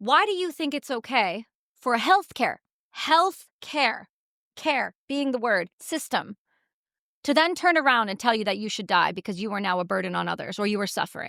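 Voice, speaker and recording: A woman with an American accent projects a raised voice at a fairly quick pace, in an animated tone with very wide pitch swings. The recording is very clean, with a silent background and a dry, close sound with no echo. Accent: sounds quite American. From Canada. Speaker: war veteran and activist. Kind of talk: interview conversation. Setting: studio in London. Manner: forceful, animated.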